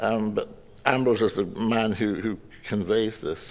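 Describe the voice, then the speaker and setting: A man speaks with a Scottish accent. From Scotland. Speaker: poet giving a lecture. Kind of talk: audience Q&A discussion; lecture. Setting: stage with audience. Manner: halting. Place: hall. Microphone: podium.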